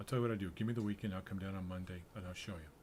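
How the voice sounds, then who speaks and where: Somewhat breathy speech from a man, pitched fairly low. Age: 70s. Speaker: programmer streaming game development. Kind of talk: casual livestream talk. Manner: halting, with fillers.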